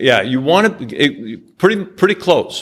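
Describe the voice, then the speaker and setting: A man with lively intonation in a New York accent, in a very clean recording with a silent background. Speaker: angel investor. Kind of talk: business presentation with slides. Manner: direct, blunt.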